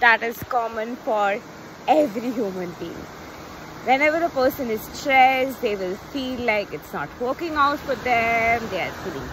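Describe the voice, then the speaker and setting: High-pitched and lively in intonation, a woman talks at a moderate pace with big swings in loudness, her dry sound carrying no echo over noticeable background noise. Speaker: coach. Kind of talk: casual vlog chat. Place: beach. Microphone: phone near.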